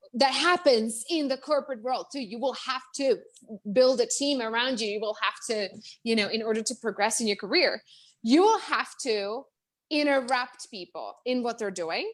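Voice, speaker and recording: A woman talks in a high-pitched voice. Her intonation is lively. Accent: Czech. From Czech Republic. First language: Czech. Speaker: business coach. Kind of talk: interview. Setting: live video stream. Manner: fast, animated.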